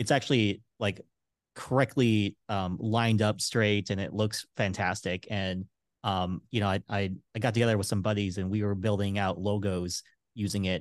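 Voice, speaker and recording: In a dry, close sound with no echo and a quiet background, a man with a normal speaking voice and a fairly low pitch speaks at a moderate pace with fairly even intonation. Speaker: podcast host. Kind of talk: interview conversation.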